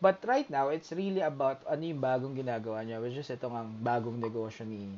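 A man speaks at a fairly quick pace with ordinary pitch variation and a medium pitch. He has a plain, everyday voice. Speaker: podcast host. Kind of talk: casual interview.

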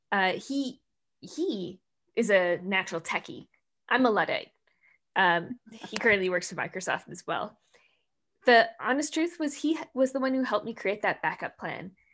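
A woman with an American accent, fairly high pitch and very wide pitch swings, at a moderate pace with long, frequent pauses, on a very clean recording with a silent background. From US Midwest, Minnesota. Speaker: tech company director. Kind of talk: interview chat. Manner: animated.

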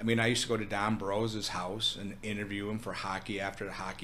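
A man with an American accent and a fairly low pitch talks at a fairly quick pace in a flat monotone. His tone is bright and sharp, with audible room echo. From Minnesota. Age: 50s. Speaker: food business owner. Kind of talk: casual interview.

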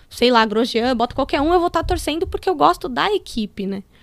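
The voice swings very widely in pitch and moves at a very fast pace. The recording is very clean, with a silent background and a dry, close sound with no echo. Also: woman. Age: 30s. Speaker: motorsport engineer. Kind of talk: casual interview.

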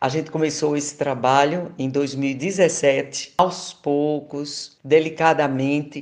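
A woman's very deep, low voice at a very slow pace, monotone and flat, with hardly any pauses. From Paraíba, Brazil. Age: 70s. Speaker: singer and psychoanalyst. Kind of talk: interview.

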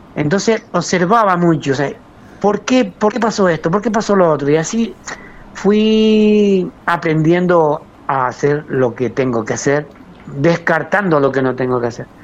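A man with a high voice, fairly slow and with lively intonation, against noticeable background noise. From Canary Islands, Lanzarote (Arrecife). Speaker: master potter. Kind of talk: interview.

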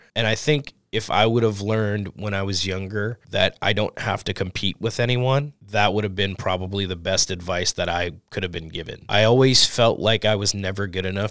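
A man with an American accent and a normal speaking voice. He talks at a moderate pace with a fairly low pitch. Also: fairly even intonation, hardly any pauses. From New Orleans, US South. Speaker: tattoo artist. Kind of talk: casual chat.

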